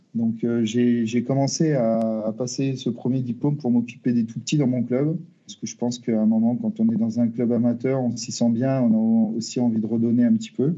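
A man's medium-pitched voice at a moderate pace, with fairly even intonation and hardly any pauses. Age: 40s. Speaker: football team manager. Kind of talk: interview. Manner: halting, with repetitions and hesitations.

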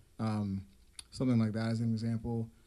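This man talks at a fairly quick pace with an American accent. His voice is fairly low in pitch with a dark, mellow tone. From central Pennsylvania. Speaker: musician. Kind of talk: casual chat.

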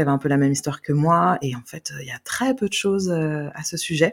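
A woman speaks with a very deep, low voice. Her pace is fairly quick. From Brittany, France (Carnac). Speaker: adoptee sharing her story. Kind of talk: guided meditation; testimony. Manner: hesitant, many fillers.

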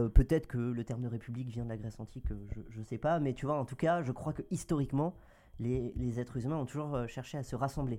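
A dark, mellow tone at a fairly quick pace, with fairly even intonation, in a very clean recording with a silent background. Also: man. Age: 20s. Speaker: NGO advocacy worker. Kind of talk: casual chat.

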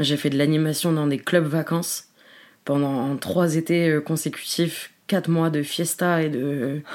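In a very clean recording with a silent background, a woman with a very deep, low pitch speaks at a very slow pace with fairly even intonation. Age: 20s. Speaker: social media comedian. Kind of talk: casual chat.

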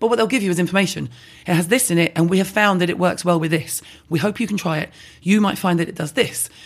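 A woman with a London accent talks at a very fast pace. Her pitch is fairly low, with ordinary pitch variation. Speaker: beauty brand founder and online personality. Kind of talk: casual interview. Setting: in-person recording.

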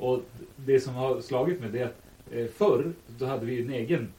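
Noticeable background noise surrounds a man at medium pitch. He speaks at a moderate pace with lively intonation. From Sweden, Västerås. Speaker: podcast co-host. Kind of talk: casual chat. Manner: kind, caring tone.

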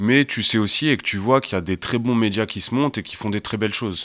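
A man speaks with ordinary pitch variation. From Paris suburbs (Val-de-Marne). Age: 30s. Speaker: entrepreneur, agency co-founder. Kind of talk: casual interview. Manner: halting, repeats words.

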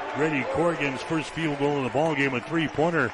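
Fairly quick male speech in an American accent, with noticeable background noise. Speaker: radio play-by-play announcer. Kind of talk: live radio basketball play-by-play, brisk running call of each possession. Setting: courtside broadcast booth at arena. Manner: rises with excitement on made baskets and runs.

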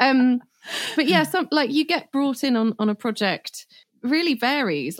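With lively intonation and a moderate pace, a woman talks in an ordinary speaking voice on a very clean recording with a silent background and a dry, close sound with no echo. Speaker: film composer. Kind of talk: casual interview chat.

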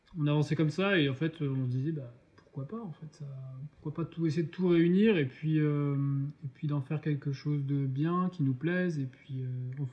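A man's fairly high, somewhat breathy voice with fairly even intonation. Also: moderate pace. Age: 30s. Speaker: food truck co-owner, art director. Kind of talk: casual interview.

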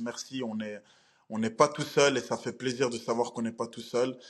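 Monotone, flat intonation runs at a moderate pace. The recording is very clean, with a silent background. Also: man. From Belgium. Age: 20s. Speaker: professional MMA fighter. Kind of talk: interview.

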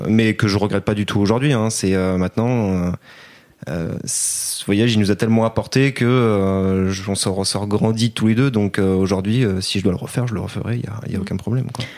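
The speaker has a plain, everyday voice and keeps a moderate pace. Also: man, fairly low pitch for a man, fairly even intonation. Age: 20s. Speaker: retail worker. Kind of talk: interview.

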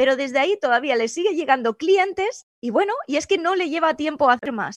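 Here a woman speaks in a high pitch, her voice making very wide pitch swings. The sound is dry and close, without echo. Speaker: professional photographer and social media coach. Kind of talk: interview, tutorial-style explanation.

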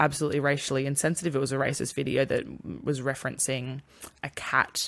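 A woman's very deep, low voice with an Australian accent at a very fast pace, in a very clean recording with a silent background. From country town, Australia. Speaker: podcast co-host. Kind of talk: casual chat.

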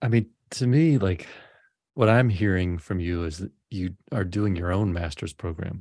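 A man with an American accent, a very deep, low pitch, a dark, mellow tone, ordinary pitch variation and a moderate pace, against a quiet background. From US South, Memphis. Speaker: podcast host. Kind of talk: casual chat. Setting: video call.

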